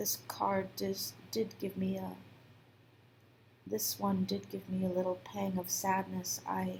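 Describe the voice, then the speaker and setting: Soft-spoken and very slow, a woman talks with long, frequent pauses. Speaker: tarot reader. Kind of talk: soft spoken tarot reading.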